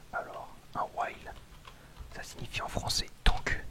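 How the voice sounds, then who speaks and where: A man whispering against noticeable background noise. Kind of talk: programming tutorial, ASMR whispered. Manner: whispered, soft-spoken.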